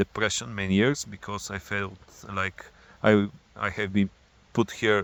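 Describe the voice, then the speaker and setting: With a non-native accent, a man speaks at a fairly low pitch and with fairly even intonation. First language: not English. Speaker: spiritual vlogger. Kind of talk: personal monologue. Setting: outdoors. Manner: halting.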